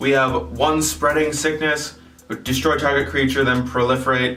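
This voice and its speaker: A man at medium pitch and moderate pace, with ordinary pitch variation, audible room echo and music in the background. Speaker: card game youtuber. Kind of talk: deck tech tutorial. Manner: casual, with filler words.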